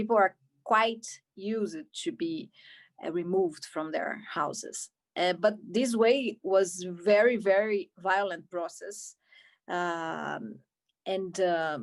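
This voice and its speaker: Medium-pitched female voice in a Brazilian Portuguese accent, very slow with long, frequent pauses and ordinary pitch variation. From Brazil, Rio de Janeiro. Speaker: film director. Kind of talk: Q&A interview. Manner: halting, many repetitions.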